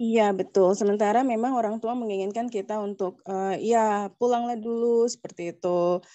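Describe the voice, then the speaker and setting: Against a quiet background, a woman with a fairly high voice speaks at a moderate pace with fairly even intonation and hardly any pauses. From Indonesia, living in Netherlands. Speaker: participant asking question; audience member. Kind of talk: question to a teacher. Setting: online video call. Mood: polite, somewhat hesitant. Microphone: video call.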